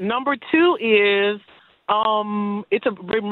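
A woman talks with an American accent at medium pitch and ordinary pitch variation. It is a plain, everyday voice. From US, Florida. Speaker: caller. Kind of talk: call-in question. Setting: phone call. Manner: excitable.

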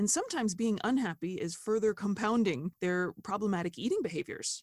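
In an ordinary speaking voice with an American accent, a woman speaks at a moderate pace with lively intonation and a fairly high pitch, the sound dry and close with no echo. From United States. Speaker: dietitian. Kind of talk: interview conversation.

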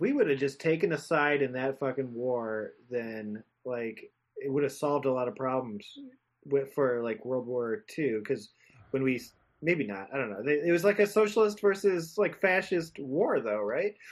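Fairly high for a man, this voice is a plain, everyday voice, moving at a moderate pace with lively intonation. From Whittier, California. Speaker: comedian and podcaster. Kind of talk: casual chat.

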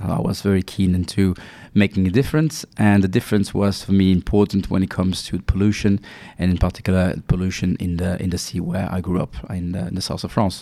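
A man's very deep, low voice with a dark, mellow tone, a French accent, fairly even intonation and a fairly quick pace. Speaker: pharma executive. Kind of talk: interview. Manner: halting, many fillers.

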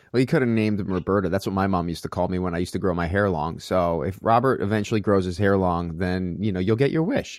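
A very fast delivery with hardly any pauses, in an American accent, with ordinary pitch variation and a very clean recording over a silent background. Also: man, very deep, low pitch for a man. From New York. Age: 40s. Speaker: fitness business owner and actor. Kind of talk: casual interview chat.

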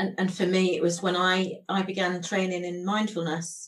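This woman's voice sits at a fairly low pitch and sounds somewhat breathy. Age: 50s. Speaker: podcast host. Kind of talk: interview; scripted introduction.

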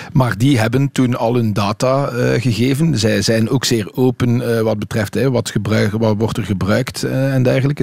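A man speaks at medium pitch with ordinary pitch variation. There is noticeable background noise. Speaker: cycling magazine editor. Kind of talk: radio panel discussion. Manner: hesitant with fillers.

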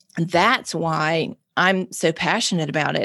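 With a Mississippi accent, a woman with a fairly low pitch speaks with fairly even intonation against a quiet background. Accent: Southern US (Mississippi). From Mississippi, US South. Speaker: nonprofit founder and drug policy advocate. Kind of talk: interview conversation.

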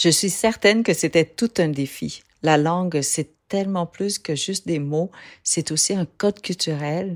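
On a very clean recording with a silent background and a dry, close sound with no echo, a woman with a normal speaking voice talks at a fairly slow pace in a fairly low pitch with ordinary pitch variation. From Vietnam. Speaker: podcast host. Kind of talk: scripted narration. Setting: studio.

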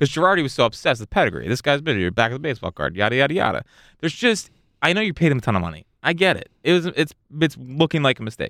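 In a very clean recording with a silent background and a dry, close sound with no echo, a man speaks very fast at a fairly high pitch, with very wide pitch swings, vocal fry and a bright, sharp tone. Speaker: podcast host. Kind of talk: casual banter. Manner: joking, interrupts often.

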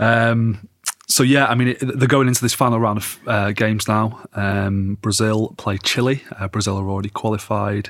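Fairly even intonation marks a man speaking with an English accent. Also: moderate pace. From England. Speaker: football journalist. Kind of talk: casual chat.

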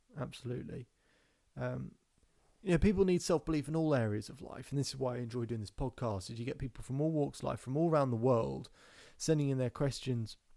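Speaking at a very fast pace with a British accent, a man has a dark, mellow tone, a medium pitch and ordinary pitch variation, in a very clean recording with a silent background. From England, near London. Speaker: self-belief coach and podcast host. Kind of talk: live-stream Q&A. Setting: Instagram Live stream. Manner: casual, off the cuff.

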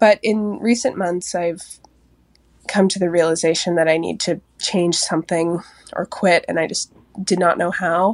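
An American accent at a moderate pace, with a dry, close sound and no echo. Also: woman, fairly low pitch for a woman, fairly even intonation. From Seattle, US. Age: 20s. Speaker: podcast listener leaving voicemail. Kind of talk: voicemail testimony.

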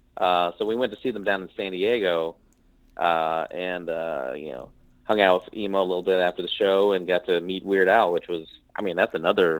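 Speaking with a Midwestern American accent, a man with a very deep, low pitch keeps a moderate pace and fairly even intonation. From US Midwest (Missouri, Nebraska). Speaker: actor and comedian. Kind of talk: casual interview chat.

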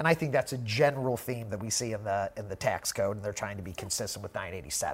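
A man with an American accent talks at a very fast pace with hardly any pauses. His fairly low voice is somewhat breathy, with ordinary pitch variation. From US Midwest (Missouri). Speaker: podcast host, tax firm leader. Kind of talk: technical discussion on a podcast. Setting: studio.

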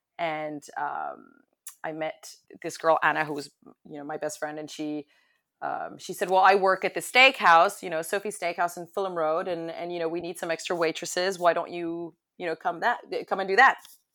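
A woman with an American accent and fairly low pitch, bright and sharp in tone, at a moderate pace with fairly even intonation and big swings in loudness, on a very clean recording with a silent background. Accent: American-sounding. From France, then London. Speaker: hospitality entrepreneur. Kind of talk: interview. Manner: halting, many repeated words.

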